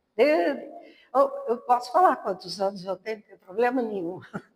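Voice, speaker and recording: A woman speaks at a high pitch. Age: 60s. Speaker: spiritist lecturer. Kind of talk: sermon.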